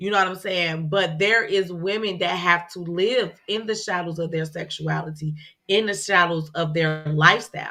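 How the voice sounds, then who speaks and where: A woman speaks loudly with a bright, sharp tone. Her fairly low pitch holds fairly even intonation. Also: moderate pace. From Chicago. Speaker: podcast co-host. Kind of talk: casual chat.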